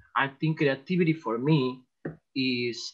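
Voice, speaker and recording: In a Spanish accent, a man talks with fairly even intonation. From El Salvador. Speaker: artist. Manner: halting.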